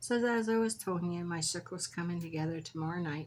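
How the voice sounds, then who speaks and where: Somewhat breathy, a woman speaks at a moderate pace with ordinary pitch variation on a very clean recording with a silent background. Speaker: crafter and shop owner. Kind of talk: craft tutorial. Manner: relaxed, casual.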